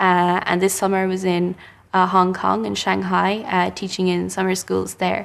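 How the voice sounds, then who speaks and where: A western Irish accent against a quiet background. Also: woman, moderate pace. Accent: Irish (west of Ireland). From Ireland, Galway. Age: 20s. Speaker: interviewee. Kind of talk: casual interview. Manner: halting.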